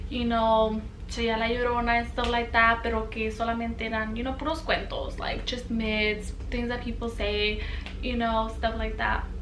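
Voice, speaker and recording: A woman speaks at a moderate pace in a flat, monotone way. Light background noise and audible room echo are present. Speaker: vlogger. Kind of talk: casual talk to camera; scary story telling. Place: home room.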